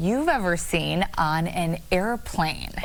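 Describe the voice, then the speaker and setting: A woman speaks with very wide pitch swings. There is noticeable background noise. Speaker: TV news anchor and reporter. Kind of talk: TV news anchor and field reporter delivery.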